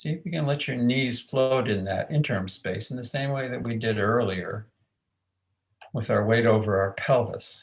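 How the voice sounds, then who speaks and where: Somewhat breathy, a man speaks at medium pitch with ordinary pitch variation. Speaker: aikido and men's work facilitator. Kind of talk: guided movement instruction. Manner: slow.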